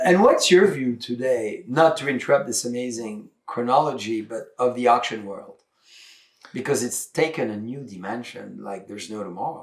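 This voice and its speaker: A man with a French accent and a medium pitch speaks at a moderate pace, his intonation lively and his loudness swinging widely. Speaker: winery owner and show host. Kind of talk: casual talk to camera, interview host.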